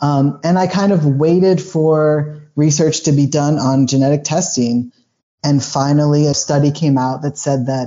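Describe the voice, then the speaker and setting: Using a plain, everyday voice, a man speaks at a fairly slow pace in a fairly high pitch with ordinary pitch variation. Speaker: patient sharing personal medical story. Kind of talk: podcast interview.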